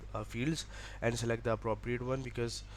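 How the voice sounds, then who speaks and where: A man speaks with a Pakistani accent. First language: Urdu. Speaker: education vlogger. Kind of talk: tutorial. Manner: halting.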